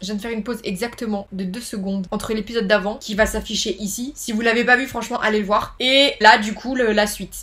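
A woman at a fairly quick pace. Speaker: gaming youtuber. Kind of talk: let's play commentary and reading aloud. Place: home room. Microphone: webcam.

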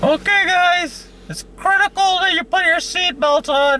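A put-on character voice at a moderate pace, with clear background noise. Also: man, extremely high pitch for a man. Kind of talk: comedic sketch dialogue. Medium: comedy sketch. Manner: gruff, irritable. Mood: bossy, insistent.

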